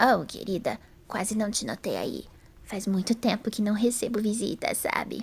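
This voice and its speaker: In a put-on character voice, a female-sounding speaker talks at a moderate pace, hoarse and fairly high-pitched. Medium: audio drama. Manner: sweet, gentle.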